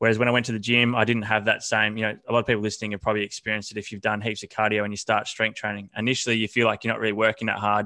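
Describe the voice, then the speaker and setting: In an Australian accent, a man with a fairly low pitch and a bright, sharp tone speaks in a monotone at a very fast pace with hardly any pauses, the sound dry and close with no echo against a quiet background. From Australia, country Victoria. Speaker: fitness coach. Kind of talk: podcast interview. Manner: halting, many fillers.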